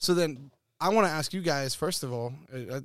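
Over a very clean recording with a silent background, a man with an American accent uses a normal speaking voice. His pitch is fairly high and his intonation lively. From Texas. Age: 20s. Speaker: podcast host. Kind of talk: casual chat.

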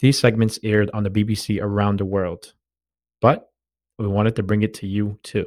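A man's fairly low voice at a fairly quick pace, flat and monotone, in a very clean recording with a silent background. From Boston, Massachusetts. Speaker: podcast host and running crew founder. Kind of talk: podcast intro and outro; interview testimony.

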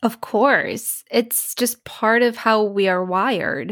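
A woman speaks in an American accent with ordinary pitch variation. The recording is very clean, with a silent background. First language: Polish. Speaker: speech pathologist and accent coach. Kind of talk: casual interview.

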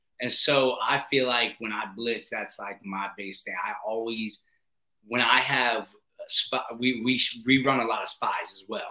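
An unremarkable speaking voice talks at a fairly slow pace with an American accent. The intonation stays fairly even. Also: man, medium pitch for a man. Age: 20s. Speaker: podcast host, head football coach. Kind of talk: casual chat. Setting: video call.

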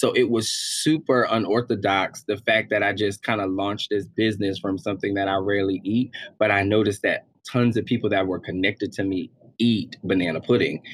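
A man with a fairly low pitch and fairly even intonation. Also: fairly quick pace. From Harlem, New York. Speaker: entrepreneur and singer. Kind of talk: casual interview.

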